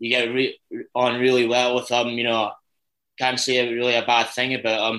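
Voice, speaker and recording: In a Dundee accent, a man talks at a medium pitch and moderate pace with a bright, sharp tone and monotone, flat intonation. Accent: Dundee Scottish. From Scotland, Dundee. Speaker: ice hockey player. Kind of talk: interview.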